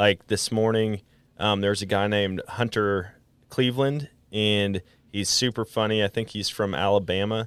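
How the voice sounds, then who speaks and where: A man with an American accent talks at a moderate pace in a fairly low pitch. It is an unremarkable speaking voice with fairly even intonation. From Wisconsin, US Midwest. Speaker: podcast host and hunter. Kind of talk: casual interview chat.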